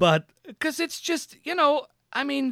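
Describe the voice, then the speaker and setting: Pitched extremely high, a man talks at a fairly slow pace with lively intonation. The sound is dry and close, with no echo. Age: 30s. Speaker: podcast host. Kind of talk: casual chat.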